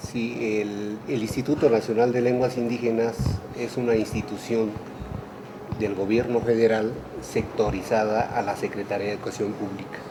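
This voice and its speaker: A man with a central Mexican accent talks at medium pitch in a monotone, flat intonation, with audible room echo and noticeable background noise. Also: moderate pace. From Mexico, Mazahua community. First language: Mazahua (speaking Spanish). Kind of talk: radio interview.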